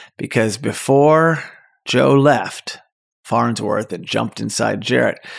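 Very slow speech is heard on a very clean recording against a silent background. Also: man. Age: 50s. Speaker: movie podcast host. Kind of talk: casual solo podcast monologue.

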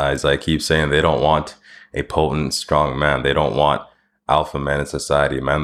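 A man with a Canadian accent, very deep and low with vocal fry, flat and monotone at a fairly quick pace. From Canada (Winnipeg and Medicine Hat). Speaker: podcast host. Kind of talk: solo monologue podcast.

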